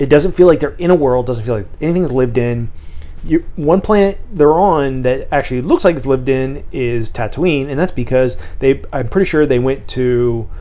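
A man speaks in an unremarkable speaking voice with a fairly high pitch. His pitch variation is ordinary and his pace moderate. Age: 30s. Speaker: podcast co-host. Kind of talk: casual chat.

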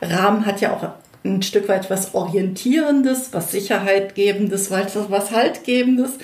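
A woman's medium-pitched voice with ordinary pitch variation at a fairly slow pace, amid noticeable background noise and audible room echo. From North Rhine-Westphalia, Germany. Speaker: educational trainer and coach. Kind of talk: casual interview chat. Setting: in person, same room.

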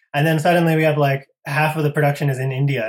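The speaker is a man with an American accent and a fairly high pitch. His is a normal speaking voice. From US Northeast (Connecticut). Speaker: filmmaker. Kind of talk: interview. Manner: casual, many fillers.

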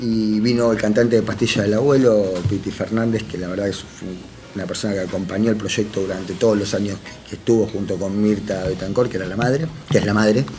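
Over music in the background and audible room echo, a man talks at a fairly quick pace with fairly even intonation. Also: fairly low pitch for a man. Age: 30s. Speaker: former prisoner and prison culture workshop organizer. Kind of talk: interview conversation.

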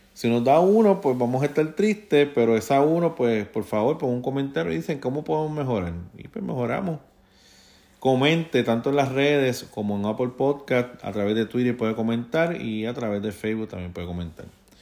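Speaking with a Puerto Rican accent, a man uses a dark, mellow tone at a medium pitch, with lively intonation and a fairly quick pace. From Puerto Rico. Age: 40s. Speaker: podcast host. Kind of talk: solo news commentary.

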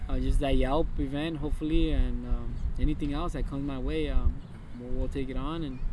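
Speaking at a fairly quick pace with an American accent, a man is heard with audible room echo. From US West Coast, East Los Angeles. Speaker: food vendor. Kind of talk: casual chat. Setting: outdoors.

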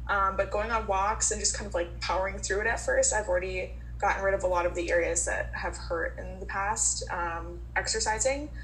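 Against noticeable background noise and audible room echo, a woman with an American accent talks at a fairly quick pace with hardly any pauses. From Minnesota. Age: 20s. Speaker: guest living with a skin disease. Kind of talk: casual group chat.

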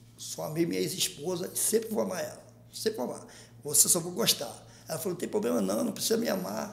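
Very wide pitch swings mark this man's high voice as he speaks at a very fast pace. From Rio de Janeiro, Maré favela. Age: 50s. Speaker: comedian and internet personality. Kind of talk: casual interview storytelling. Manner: animated.

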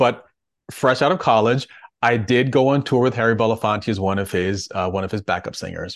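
A man with an American accent has a normal speaking voice at medium pitch with ordinary pitch variation. He speaks at a moderate pace against a quiet background. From Connecticut. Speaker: singer and actor. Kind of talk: casual interview chat.

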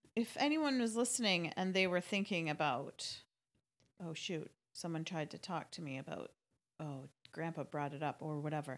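An unremarkable speaking voice carries lively intonation. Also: woman, fairly low pitch for a woman, moderate pace. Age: 40s. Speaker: podcast host.

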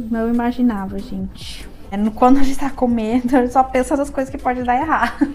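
Against noticeable background noise, a woman with a high pitch talks fairly quickly in a monotone, flat intonation. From southern Brazil, Serra Gaúcha (Rio Grande do Sul). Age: 30s. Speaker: beautician, eyebrow and lash studio owner. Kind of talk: interview. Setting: her studio.

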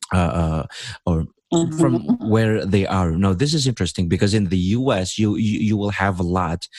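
His loudness stays very even while his intonation is lively. This man's pitch is fairly low. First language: Indonesian. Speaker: podcast host and English teacher. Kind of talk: casual chat. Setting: online call. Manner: deliberate.

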